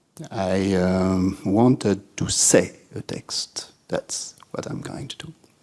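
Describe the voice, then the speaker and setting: A man speaks with a French accent. He talks at a very slow pace. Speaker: writer and literature lecturer. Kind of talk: spoken talk to audience. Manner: halting, many fillers.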